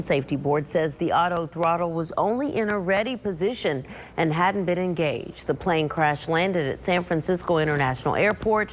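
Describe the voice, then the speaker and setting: A woman speaks at a fairly quick pace with hardly any pauses and very even loudness. Her plain, everyday voice sits at a fairly low pitch with ordinary pitch variation. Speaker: television news anchor and reporter. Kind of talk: news anchor delivery, reading headlines.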